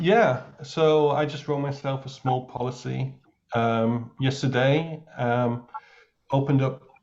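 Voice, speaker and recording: Very slow and somewhat breathy, a man speaks at a medium pitch with monotone, flat intonation. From England. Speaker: new insurance agent. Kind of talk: casual chat.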